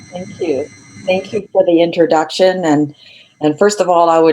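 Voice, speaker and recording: A woman's fairly low voice with ordinary pitch variation, music playing in the background. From Europe. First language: not English. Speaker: education researcher and learning consultant. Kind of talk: online lecture. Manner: deliberately slowed.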